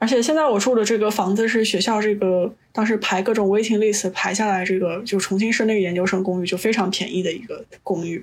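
This woman has an ordinary speaking voice and fairly even intonation. She goes at a fairly quick pace with hardly any pauses. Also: medium pitch for a woman. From China. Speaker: podcast guest, chemist. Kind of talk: casual chat.

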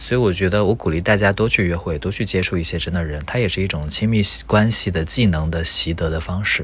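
A man with a very deep, low pitch speaks at a fairly quick pace with ordinary pitch variation. Noticeable background noise is present. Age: 30s. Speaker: tech company employee, podcast guest. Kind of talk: casual chat.

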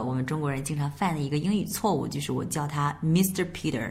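A woman with a Chinese accent talks very fast, her pitch very deep and low with ordinary variation. Background noise is noticeable. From China. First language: Mandarin Chinese. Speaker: English teacher. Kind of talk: bilingual language lesson.

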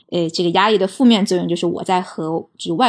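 A woman's medium-pitched voice with vocal fry and ordinary pitch variation, on a very clean recording with a silent background. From mainland China. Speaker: podcast guest. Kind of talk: casual chat.

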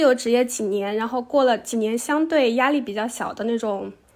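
Over a silent background in a very clean recording, a woman talks at a moderate pace. Her voice is fairly high, with ordinary pitch variation. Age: 30s. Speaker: PhD student. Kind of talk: interview.

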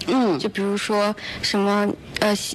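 A woman speaks with a fairly high pitch. Noticeable background noise runs behind her. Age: 19. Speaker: student. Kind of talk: radio interview. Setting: radio studio.

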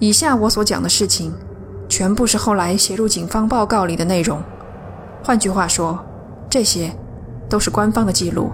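A woman speaks at a moderate pace in a medium-pitched voice with a dramatic tone, lively intonation and long, frequent pauses. Her loudness stays very even over noticeable background noise. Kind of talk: scripted ghost story narration. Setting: studio. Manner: hushed, suspenseful storytelling pace; measured, building tension, dramatic emphasis.

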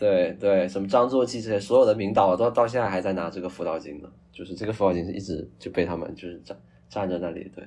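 A man's fairly low voice at a very fast pace. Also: fairly even intonation. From Guangdong, China (Hakka). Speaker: screenwriter and film student. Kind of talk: casual chat. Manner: halting, repeats words.

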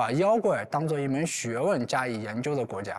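Pitch swings very widely as the man talks at a moderate pace. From China, rural Anhui. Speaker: writer and folklore researcher. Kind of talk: public talk at an event.

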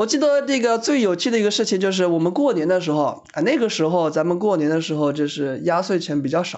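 Very fast and lively in intonation, a man with a high pitch keeps his loudness very even. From Shanghai. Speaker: office worker, friend of host. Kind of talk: casual chat.

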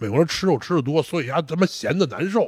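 With vocal fry and very wide pitch swings, the speaker moves at a fairly quick pace in a very clean recording with a silent background. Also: man. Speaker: strongman athlete. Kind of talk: casual interview chat. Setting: training gym.

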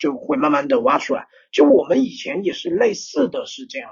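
A man speaks with very wide pitch swings. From small Chinese city. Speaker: rock band lead singer. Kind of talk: casual chat.

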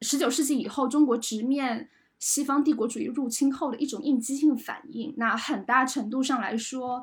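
Over a very clean recording with a silent background, a woman speaks at a moderate pace. Her pitch is high and her intonation fairly even. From Jiangsu-Zhejiang region, China. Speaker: culture journalist. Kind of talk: panel discussion.

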